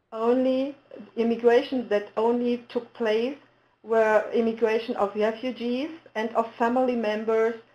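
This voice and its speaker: Fairly slow, fairly even speech from a woman in a German accent, her pitch fairly high. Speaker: municipal integration official. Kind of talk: webinar presentation. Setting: webinar. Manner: halting.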